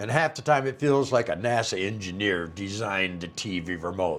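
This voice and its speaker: With a plain, everyday voice, a man speaks fairly slowly at a fairly low pitch with lively intonation. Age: 60s. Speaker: retirement lifestyle YouTuber. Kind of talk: casual talk to camera. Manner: folksy, humorous.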